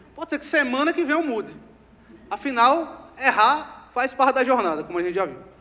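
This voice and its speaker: A man's extremely high, raised and projected voice, animated in tone, with lively intonation and a fairly quick pace. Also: big swings in loudness. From Rio Grande do Norte, Brazil. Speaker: customer success executive, speaker. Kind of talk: conference talk. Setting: stage with audience.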